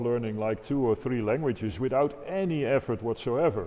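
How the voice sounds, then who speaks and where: Lively intonation comes at a moderate pace with a non-native accent. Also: man. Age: 50s. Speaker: organist and improviser. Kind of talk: interview conversation.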